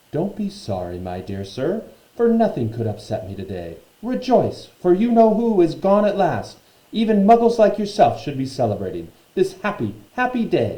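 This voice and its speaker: A man puts on a squeaky character voice with a high pitch and a New Jersey-free, moderate pace. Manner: jubilant, effusive.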